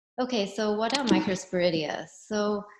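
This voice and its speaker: A woman speaks with ordinary pitch variation. Room echo is audible around her voice. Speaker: professor. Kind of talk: lecture. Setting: video call. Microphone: video call.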